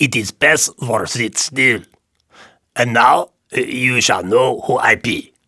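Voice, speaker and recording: A man speaks in a put-on character voice, gruff and rumbling at a medium pitch. He talks at a fairly slow pace with long, frequent pauses. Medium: read story. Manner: gruff, grumbling, broken English.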